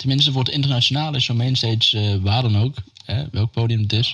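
At a fairly quick pace, a man talks in a plain, everyday voice with a medium pitch. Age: 50s. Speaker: stage crew podcast host. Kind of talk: casual chat.

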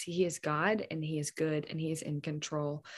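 This is a woman speaking. She keeps a fairly slow pace. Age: 20s. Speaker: podcast guest sharing faith testimony. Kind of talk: casual chat.

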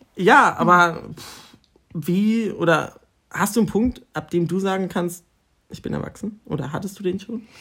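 Using a raised, projected voice, a man with a high pitch and a bright, sharp tone speaks at a moderate pace with ordinary pitch variation, big swings in loudness and long, frequent pauses. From northern Germany, near Osnabrück. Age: 20s. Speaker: university student, podcast co-host. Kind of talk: casual chat. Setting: at home.

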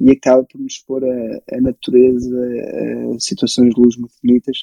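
The man's voice sits at a medium pitch with a dark, mellow tone. The sound is dry and close, with no echo. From Portugal, moved from Belgium at age 6. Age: 20s. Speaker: photographer and filmmaker. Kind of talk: casual interview chat.

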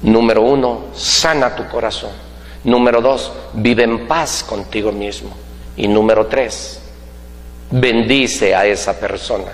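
A man talks very slowly, with noticeable background noise and audible room echo around him. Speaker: business coach. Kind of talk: motivational talk. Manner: animated.

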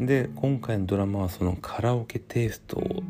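A man talks at a moderate pace in a relaxed tone, his pitch fairly low. His intonation is lively, and noticeable background noise is present. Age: 40s. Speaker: podcast host. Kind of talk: casual solo talk while drinking. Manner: relaxed, hesitant with fillers.

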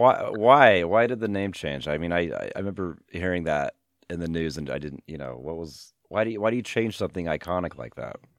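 With an American accent, a man speaks at a fairly quick pace with hardly any pauses, a very deep, low pitch, lively intonation and big swings in loudness against a quiet background. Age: 40s. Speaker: podcast host and high school teacher. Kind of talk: casual interview. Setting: remote call. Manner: halting, many fillers.

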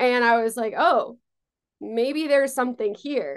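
Against a quiet background, a plain, everyday voice with an American accent speaks at a moderate pace with ordinary pitch variation. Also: woman. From New York, Long Island. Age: 20s. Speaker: talent management founder. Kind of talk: interview.

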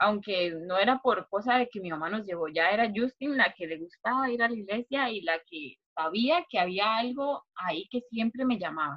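A woman talks in an ordinary speaking voice at a medium pitch. Her intonation is lively and her pace is moderate. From Costa Rica, Turrialba (Cartago). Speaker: university student. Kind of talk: casual chat.

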